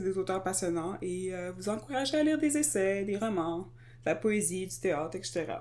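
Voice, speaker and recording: Speaking at a moderate pace, a woman has a Quebec accent. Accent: Québécois French. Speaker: podcast co-host. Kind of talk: casual chat.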